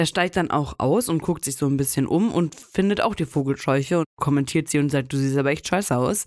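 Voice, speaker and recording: A woman with a very deep, low pitch talks at a fairly quick pace with hardly any pauses, very even loudness, and ordinary pitch variation. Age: 20s. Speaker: podcast co-host. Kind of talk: casual chat.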